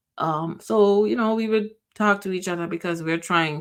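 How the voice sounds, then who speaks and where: In a Jamaican accent, a woman talks with ordinary pitch variation. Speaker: podcast host. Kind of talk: personal reflection. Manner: halting.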